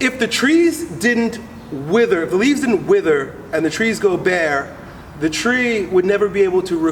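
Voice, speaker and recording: A man with an American accent speaks at a moderate pace, his tone animated. His intonation is lively, and background noise is noticeable. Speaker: strength coach. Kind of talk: casual interview.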